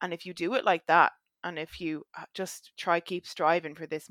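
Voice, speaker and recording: In an Irish accent, a woman with a fairly low voice speaks fairly quickly and with fairly even intonation, on a very clean recording with a silent background and a dry, close sound with no echo. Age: 20s. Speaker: fitness coaching client. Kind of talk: casual chat.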